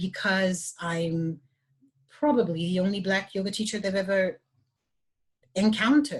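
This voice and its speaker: A woman with a slight French accent talks at a moderate pace in a medium pitch, sounding somewhat breathy. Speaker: yoga teacher. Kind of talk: panel discussion. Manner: halting, many restarts.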